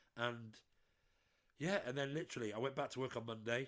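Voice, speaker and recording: A man speaks with a British accent. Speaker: podcast co-host. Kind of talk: casual chat.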